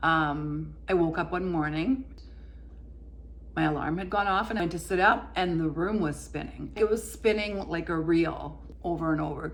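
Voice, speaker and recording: A woman's moderately paced speech carries audible room echo. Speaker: lifestyle vlogger, former corporate worker. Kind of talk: personal testimony vlog. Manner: occasional stumbles, tripping over words.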